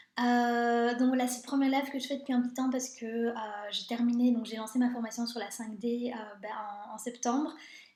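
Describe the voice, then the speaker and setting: Fairly quick speech rings with audible room echo. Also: woman. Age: 30s. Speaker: life coach. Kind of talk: live stream talk. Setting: live video stream. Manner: fast; hesitant, many filler sounds.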